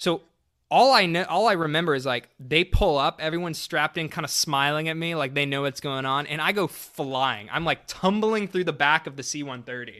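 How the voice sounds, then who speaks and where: At a fairly quick pace, a man with an American accent speaks in a bright, sharp tone at a fairly high pitch with ordinary pitch variation, recorded very cleanly with a silent background and a dry, close sound with no echo. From Texas, Dallas. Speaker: air force public affairs officer. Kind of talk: interview. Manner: casual, laughs often.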